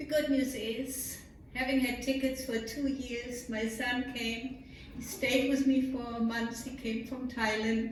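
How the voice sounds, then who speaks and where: A woman's high-pitched, flat, monotone voice at a fairly slow pace, with audible room echo and noticeable background noise. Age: 80s+. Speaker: congregation member. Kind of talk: congregational sharing of joys and concerns.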